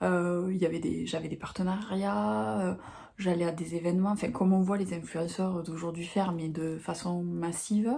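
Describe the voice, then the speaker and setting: A woman's fairly low-pitched voice, dark and mellow in tone, with audible room echo. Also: lively intonation, moderate pace. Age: 40s. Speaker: book vlogger. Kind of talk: casual vlog talk to camera. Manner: halting, many hesitations.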